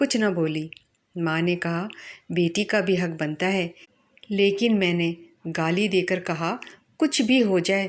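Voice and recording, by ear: With a quiet background, the speaker is reading aloud in a natural voice.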